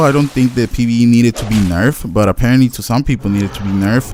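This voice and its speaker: Noticeable background noise under a male voice of medium pitch and ordinary pitch variation. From Latin America. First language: Spanish. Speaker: gaming YouTuber. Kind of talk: gameplay commentary. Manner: halting, rambling with fillers.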